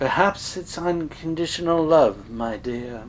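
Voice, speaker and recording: Over clear background noise, a man uses a put-on character voice at a fairly high pitch and a fairly slow pace. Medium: read story. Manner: patronizing, calls him dear.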